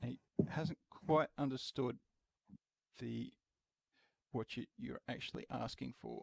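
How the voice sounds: Slow, fairly evenly intoned speech with vocal fry and a slightly husky edge, in a dry, close sound with no echo. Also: man, medium pitch for a man.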